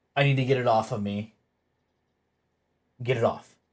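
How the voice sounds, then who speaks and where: A man speaks in a somewhat breathy voice. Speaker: streamer. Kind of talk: casual chat. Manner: fast.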